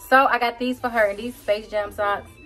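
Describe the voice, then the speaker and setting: Faint music sits in the background while a woman speaks at a moderate pace. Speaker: vlogger. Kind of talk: casual, slangy vernacular. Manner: casual, chatty. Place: home room. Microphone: phone near.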